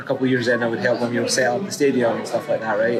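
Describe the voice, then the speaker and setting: With a Scottish accent, a man of medium pitch speaks over crowd noise in the background, his voice carrying audible room echo. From Scotland. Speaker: supporters group volunteer. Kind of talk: documentary interview.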